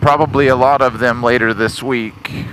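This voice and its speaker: Amid noticeable background noise, a medium-pitched man speaks fairly slowly with monotone, flat intonation. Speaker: motorcycle rider. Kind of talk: casual talk while riding. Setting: outdoors.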